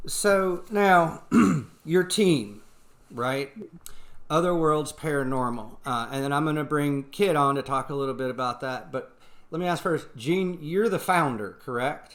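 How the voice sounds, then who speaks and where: This man talks with a Southern US accent at a fairly high pitch. His pace is fairly slow and his intonation is lively. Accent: southern American. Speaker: paranormal podcast host. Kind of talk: casual chat.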